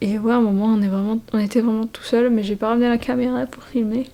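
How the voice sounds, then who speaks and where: A woman speaks with a fairly high pitch and a dark, mellow tone. Her intonation stays fairly even. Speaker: vlogger. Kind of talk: casual vlog talk to camera. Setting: holiday rental at night. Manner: hesitant, many fillers; whispering.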